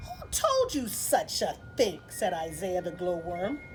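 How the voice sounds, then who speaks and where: A woman speaks in a put-on character voice at a fairly slow pace. Clear background noise runs underneath. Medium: read story. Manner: kindly, matter-of-fact.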